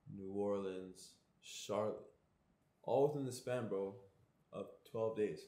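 A man with a fairly low pitch and a dark, mellow tone speaks with ordinary pitch variation. Audible room echo surrounds his voice. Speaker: traveling vlogger. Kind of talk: casual vlog chat. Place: home room. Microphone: phone near.

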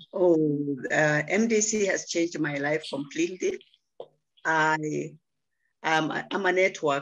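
A woman speaks at a very slow pace, with a very deep, low pitch and ordinary pitch variation. Her loudness stays very even, long pauses come often, and the background is quiet. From Kenya. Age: 70s. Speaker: interior designer and network marketer. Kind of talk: testimony. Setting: video call. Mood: warm, enthusiastic. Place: home room. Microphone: video call.

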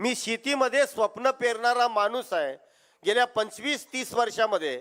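A man with a high pitch and ordinary pitch variation is heard on a very clean recording with a silent background. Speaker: farmers' union leader, retired professor. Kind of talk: political rally speech. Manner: loud, fiery oratory.

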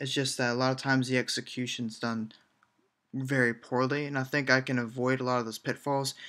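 Over a quiet background, the speaker talks at a fairly quick pace in a bright, sharp tone with monotone, flat intonation. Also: man. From Georgia, US South. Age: 20s. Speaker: indie game developer and student. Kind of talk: vlog monologue. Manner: casual, with fillers. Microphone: earbuds.

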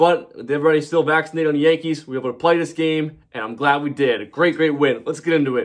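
A man at a very fast pace with hardly any pauses and fairly even intonation, over a quiet background. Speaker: sports fan vlogger. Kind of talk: casual postgame recap commentary. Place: home room. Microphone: phone near.

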